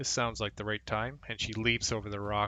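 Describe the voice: The voice is plain reading aloud. The text is read straight through.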